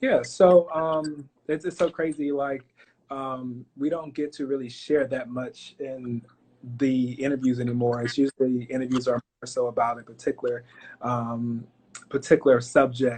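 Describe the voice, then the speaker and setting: A man with a normal speaking voice and an American accent speaks at a moderate pace, his pitch medium and his intonation fairly even. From Florida, Fort Pierce. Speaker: pharmacist and business owner. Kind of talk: interview. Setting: live stream.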